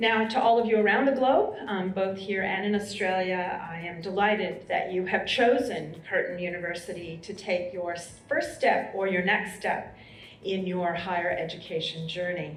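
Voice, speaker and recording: A woman with an American accent, hardly any pauses, audible room echo and music in the background. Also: medium pitch for a woman, ordinary pitch variation, moderate pace. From US, Colorado. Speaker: university vice-chancellor. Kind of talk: welcome speech. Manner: formal.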